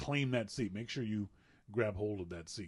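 A man talks at a moderate pace with lively intonation against a quiet background. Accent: Maritime Canadian. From Nova Scotia, Canada. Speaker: podcast co-host. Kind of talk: casual chat.

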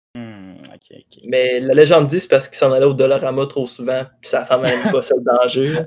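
With hardly any pauses, a man speaks in a normal speaking voice at a medium pitch and a fairly quick pace, showing ordinary pitch variation and big swings in loudness. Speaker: podcast host. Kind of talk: casual chat.

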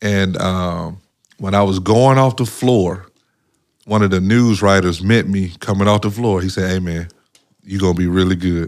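A man speaks with a fairly low pitch. The recording is very clean, with a silent background. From Mississippi, US South. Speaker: former professional basketball player. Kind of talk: interview, life story. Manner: casual, many fillers.

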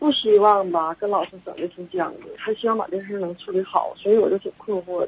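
A woman talks at a fairly quick pace with hardly any pauses, her medium pitch showing ordinary pitch variation. Her loudness swings widely, and there is noticeable background noise. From Shenyang, northeast China. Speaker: caller, mother. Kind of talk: phone-in account of a problem. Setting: phone call. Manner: halting, many fillers. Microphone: too quiet.

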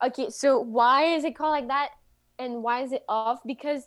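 A woman speaks with a Quebec French accent. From Quebec City. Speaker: singer-songwriter. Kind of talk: interview.

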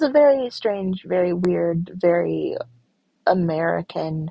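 A woman with a Michigan accent, speaking at a very slow pace. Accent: US Midwest (Michigan). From rural Michigan, US. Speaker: podcast host. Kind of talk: solo monologue podcast. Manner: deliberately slow.

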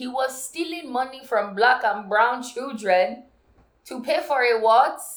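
A woman with a high-pitched voice talks very slowly, her intonation lively. Room echo is audible. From Nigerian heritage. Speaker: podcast co-host. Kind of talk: casual chat.

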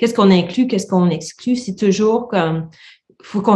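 The background is quiet. A somewhat breathy woman talks with ordinary pitch variation. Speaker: visual artist and university lecturer. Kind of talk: casual interview.

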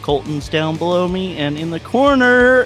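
Putting on a character voice, a man speaks at a high pitch with very wide pitch swings. He keeps a moderate pace while music plays clearly in the background. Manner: booming, dramatic intro.

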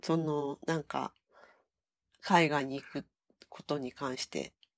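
A woman talks at a fairly slow pace. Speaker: podcast co-host. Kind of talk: casual chat. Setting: remote call.

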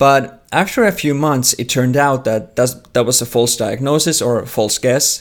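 With a Finnish accent, a medium-pitched man talks at a moderate pace with ordinary pitch variation. There are hardly any pauses. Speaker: theology researcher. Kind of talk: interview. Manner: halting.

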